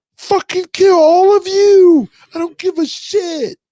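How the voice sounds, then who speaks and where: Using a put-on character voice with an extremely high pitch, the speaker goes at a fairly slow pace. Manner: aggressive hardcore.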